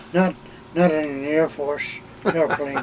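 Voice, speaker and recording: Very slow, fairly even speech over noticeable background noise. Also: man. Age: 80s+. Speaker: retired air force officer. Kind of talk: interview. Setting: in an RV.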